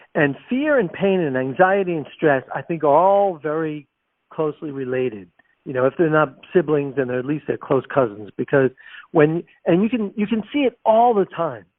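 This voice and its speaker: A man with a fairly high pitch and lively intonation keeps a moderate tempo, using an ordinary speaking voice. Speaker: international speaker, trainer and author. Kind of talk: podcast interview.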